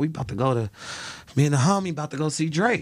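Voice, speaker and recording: A man speaks in an American accent with ordinary pitch variation. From Chicago, South Side. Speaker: celebrity stylist. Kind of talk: casual chat.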